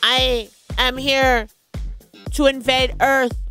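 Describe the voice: With faint music in the background, a woman uses a high put-on character voice.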